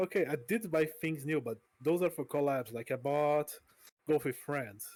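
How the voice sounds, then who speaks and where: On a very clean recording with a silent background, a man with a Portuguese accent uses fairly high pitch and ordinary pitch variation at a moderate pace. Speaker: vtuber streamer. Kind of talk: interview. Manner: halting.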